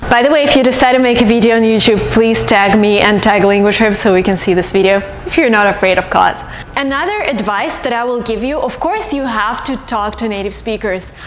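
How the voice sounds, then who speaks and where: A woman with a Russian accent talks at a fairly quick pace with ordinary pitch variation, music in the background and audible room echo. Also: fairly high pitch for a woman. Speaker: YouTuber, language tips. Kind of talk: vlog advice talk. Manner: animated.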